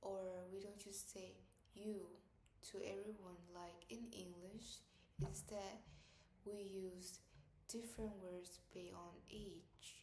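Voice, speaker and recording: Over audible room echo, a somewhat breathy woman speaks at a very slow pace in a flat monotone, leaving long, frequent pauses. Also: medium pitch for a woman. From Vietnam. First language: Vietnamese. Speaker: student. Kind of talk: class presentation.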